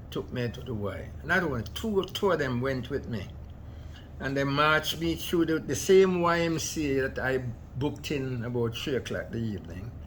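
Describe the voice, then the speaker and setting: Somewhat breathy and at a medium pitch, a man speaks at a moderate pace with very wide pitch swings amid audible room echo. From Jamaica. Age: 90s. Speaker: immigrant elder. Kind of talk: interview storytelling.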